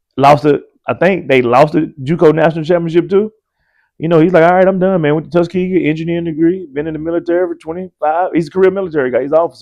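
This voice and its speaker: A man with an Alabama accent talks at a very fast pace and a high pitch, with fairly even intonation against a quiet background. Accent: Southern US (Alabama). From US South, rural Alabama. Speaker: college basketball coach. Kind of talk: podcast interview. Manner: casual, conversational.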